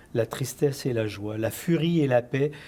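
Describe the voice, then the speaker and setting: The man's voice carries a dark, mellow tone and is somewhat breathy. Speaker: interview show host. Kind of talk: TV interview hosting.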